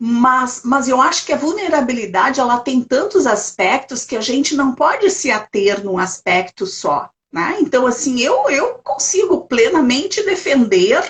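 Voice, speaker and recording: A woman at a high pitch, with very wide pitch swings, a fairly slow pace and hardly any pauses. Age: 60s. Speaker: elder rights council president. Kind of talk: interview in a live stream. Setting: video call. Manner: halting, many repetitions.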